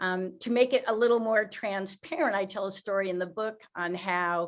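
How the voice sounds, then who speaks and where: Here is a woman with a plain, everyday voice and a medium pitch. She speaks at a fairly slow pace with ordinary pitch variation. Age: 60s. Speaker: author and sales coach. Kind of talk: interview.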